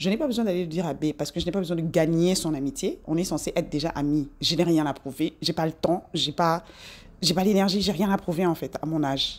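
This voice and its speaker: Fairly quick and fairly low, a woman's voice shows ordinary pitch variation. The recording is very clean, with a silent background. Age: 40s. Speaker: self-improvement vlogger. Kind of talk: casual monologue to camera. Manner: animated.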